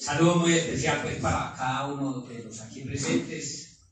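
A man speaks at a fairly slow pace with ordinary pitch variation, in a room with strong echo and light background noise. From Colombia. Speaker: mayor. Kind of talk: official speech. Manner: warm, informal. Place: meeting room.

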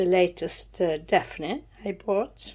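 Dark and mellow in tone, a woman speaks with a Swedish accent. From Sweden. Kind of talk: casual talk to camera.

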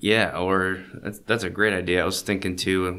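Talking at a moderate pace, a man has a very deep, low pitch and a bright, sharp tone. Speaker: podcast host and teacher. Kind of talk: casual podcast conversation.

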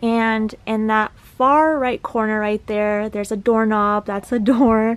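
A woman speaks at a very slow pace with fairly even intonation. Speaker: vlogger decluttering her parents' garage. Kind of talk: casual vlog chat. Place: garage. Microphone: phone near.

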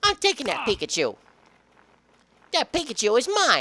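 The put-on character voice sits high in pitch and moves at a moderate pace. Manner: scheming, possessive.

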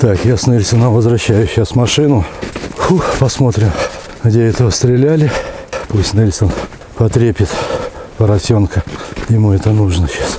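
At a moderate pace, the speech has long, frequent pauses, with a dry sound free of echo and noticeable background noise. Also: man. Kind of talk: casual commentary while walking. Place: forest. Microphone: phone near.

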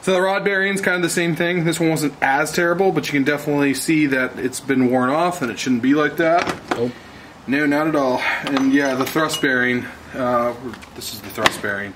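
Noticeable background noise is present. A man speaks at a moderate pace with ordinary pitch variation. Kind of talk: casual explanatory commentary. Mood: dismayed at the damage. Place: garage.

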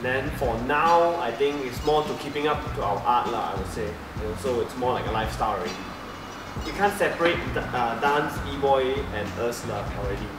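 Noticeable background noise and audible room echo surround a man talking at a moderate pace. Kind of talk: interview answer. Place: hall. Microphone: camera far.

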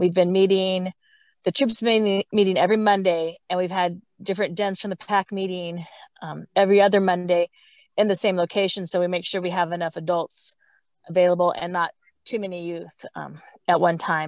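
Against a quiet background, a woman with an unremarkable speaking voice talks at a moderate pace in a fairly low pitch, with big swings in loudness. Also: dry sound with no echo. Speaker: scout troop parent volunteer. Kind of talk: video call update. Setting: in a car. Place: forest. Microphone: earbuds.

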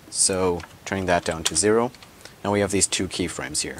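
Against noticeable background noise, a man speaks at a fairly low pitch with fairly even intonation. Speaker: software tutorial creator. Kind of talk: screen-recorded software tutorial.

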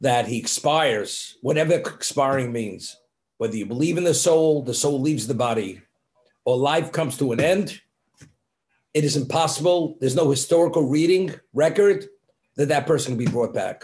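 A somewhat breathy man speaks with ordinary pitch variation over a quiet background. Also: moderate pace. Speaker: religious teacher. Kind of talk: lecture. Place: home room. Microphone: webcam.

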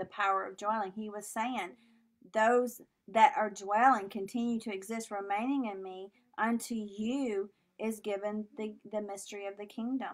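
This woman has a normal speaking voice with a fairly high pitch and speaks at a moderate pace. Her loudness swings widely. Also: fairly even intonation. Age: 40s. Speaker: minister. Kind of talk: sermon.

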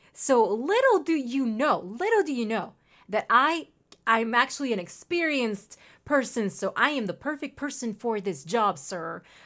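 In a Mexican accent, a woman speaks at a moderate pace and a fairly high pitch, with lively intonation and an animated tone against a quiet background. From Mexico. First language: Spanish. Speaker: gaming streamer. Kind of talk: live gameplay commentary; casual gameplay commentary, reading game dialogue aloud. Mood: cheerful, playful. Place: home room.

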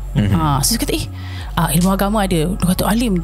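A woman's voice with a Malaysian accent, faint music in the background. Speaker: voice-over artist and TV host; former broadcast journalist. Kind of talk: podcast interview answer. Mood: serious, telling a story. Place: studio. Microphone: studio mic.

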